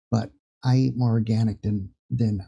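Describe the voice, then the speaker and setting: Speaking at a moderate pace, a man uses a medium pitch with ordinary variation. His tone is dark, mellow and somewhat breathy. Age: 60s. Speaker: spiritual vlogger. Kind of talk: casual spiritual talk to camera. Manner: halting, many fillers.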